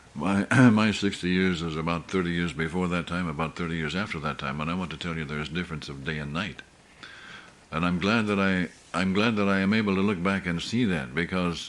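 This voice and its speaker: A man's very deep, low voice at a fairly quick pace, with ordinary pitch variation and noticeable background noise. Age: 70s. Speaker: pastor. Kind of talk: sermon. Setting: church meeting. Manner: halting.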